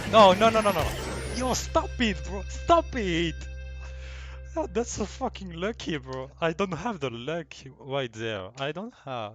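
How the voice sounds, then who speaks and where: A man speaks with a French accent. His pace is fairly slow, and music plays in the background. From France. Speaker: gaming video reactor. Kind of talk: casual reaction commentary. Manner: excited.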